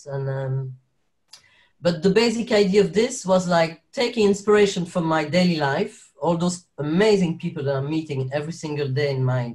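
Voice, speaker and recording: A man with a French accent, high-pitched, lively in intonation, with long, frequent pauses. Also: fairly quick pace. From Belgium, French-speaking Wallonia, Sicilian parents. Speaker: actor and carer. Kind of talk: interview. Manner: halting, many fillers and restarts.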